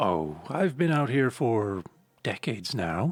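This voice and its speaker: In a put-on character voice, raspy and fairly slow, the speaker's pitch swings very widely. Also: man, medium pitch for a man. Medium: read story. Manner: casual, dry.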